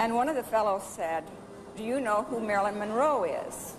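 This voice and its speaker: The speaker uses ordinary pitch variation at a moderate pace, with audible room echo. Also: woman. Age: 60s. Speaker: former schoolmate of a film star. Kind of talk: interview.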